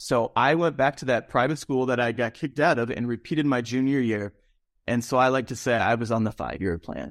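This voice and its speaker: On a very clean recording with a silent background, a man with an American accent speaks in an unremarkable speaking voice at a medium pitch, at a fairly quick pace with ordinary pitch variation. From Minnesota, St. Paul. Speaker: musician and casting director. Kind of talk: interview, life story.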